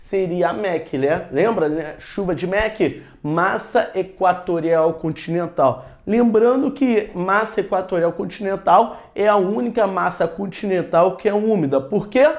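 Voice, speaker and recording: This man has a high pitch and an animated tone, with ordinary pitch variation at a fairly slow pace. Audible room echo surrounds his voice. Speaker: geography teacher for military exam prep. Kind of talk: lecture. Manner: animated, casual slangy.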